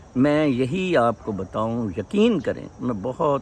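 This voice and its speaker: Lively intonation from a man with an unremarkable speaking voice and a medium pitch. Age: 60s. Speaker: vlogger. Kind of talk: casual vlog monologue. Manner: code-switching Urdu-English.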